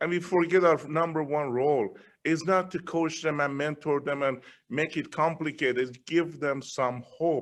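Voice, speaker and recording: Against a quiet background, a man with a Persian accent speaks at a moderate pace in a fairly high pitch. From Iran. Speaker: business leader, guest speaker. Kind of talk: interview. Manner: animated.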